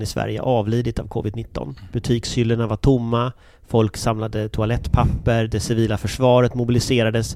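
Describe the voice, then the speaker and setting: At a moderate pace and medium pitch, a man talks with fairly even intonation. His is an unremarkable speaking voice. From Gothenburg, Sweden. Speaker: podcast host, opinion journalist. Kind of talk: interview.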